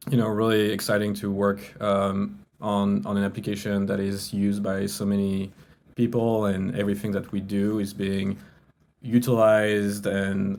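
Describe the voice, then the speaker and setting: A man with a French accent, fairly low pitch, flat monotone delivery, moderate pace. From France. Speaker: crypto business executive. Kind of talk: interview. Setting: podcast.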